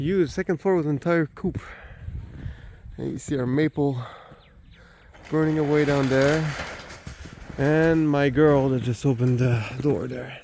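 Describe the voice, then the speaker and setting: The speaker has a Quebec accent and ordinary pitch variation. The pace is moderate, with long, frequent pauses. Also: man, fairly high pitch for a man. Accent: Québécois French accent in English. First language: French. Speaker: homesteader. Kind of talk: casual walking tour vlog. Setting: outdoors. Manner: halting, many fillers.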